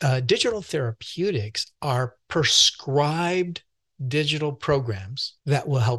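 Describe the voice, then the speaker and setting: A man with an ordinary speaking voice, fairly high in pitch, lively in intonation and fairly slow in pace, with a dry, close sound and no echo. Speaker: doctor and mental health expert. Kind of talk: interview conversation. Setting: video call.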